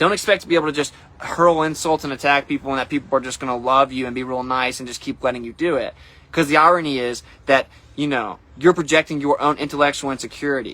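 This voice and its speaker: The delivery is very fast with fairly even intonation. Loudness rises and falls in big swings. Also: man, fairly high pitch for a man. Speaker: flat earth streamer. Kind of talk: casual monologue livestream.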